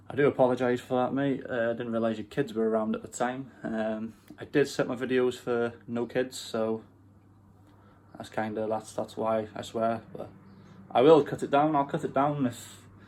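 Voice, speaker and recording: A man of medium pitch speaks with a Welsh accent at a moderate pace and with fairly even intonation. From Wales. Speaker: car enthusiast YouTuber. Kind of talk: casual vlog. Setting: bedroom. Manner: casual, hesitant with fillers.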